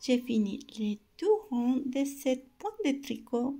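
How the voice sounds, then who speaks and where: At a very slow pace, the speaker talks with a non-native accent. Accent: non-native French accent, self-noted. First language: not French (speaking French). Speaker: knitting instructor. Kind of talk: tutorial. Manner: slow, step-by-step; halting.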